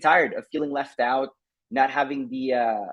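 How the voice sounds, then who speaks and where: A man's voice, moderate in pace. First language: not English. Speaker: social skills coach. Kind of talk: online talk presentation. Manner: casual, many fillers.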